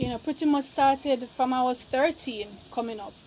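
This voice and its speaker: This soft-spoken voice moves at a moderate pace. There is noticeable background noise. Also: woman. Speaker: vegan lifestyle vlogger. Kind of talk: casual vlog. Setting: outdoors on a rooftop.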